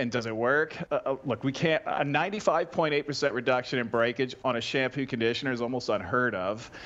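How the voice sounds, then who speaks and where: A man's normal speaking voice with a Canadian accent, medium in pitch with ordinary pitch variation, at a moderate pace with hardly any pauses. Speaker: hair care brand founder. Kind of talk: sales pitch. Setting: video call.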